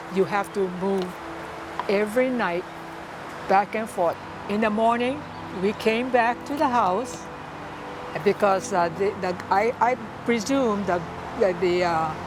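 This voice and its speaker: With music in the background, a woman at a medium pitch speaks at a fairly slow pace with long, frequent pauses and ordinary pitch variation. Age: 80s+. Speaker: elderly farm family member, war memories. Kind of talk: interview answer.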